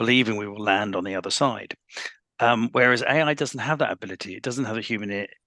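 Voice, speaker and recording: A man's bright, sharp voice at medium pitch and a very fast pace, with ordinary pitch variation, big swings in loudness and a quiet background. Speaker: panelist, dyslexia advocate. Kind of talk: panel discussion.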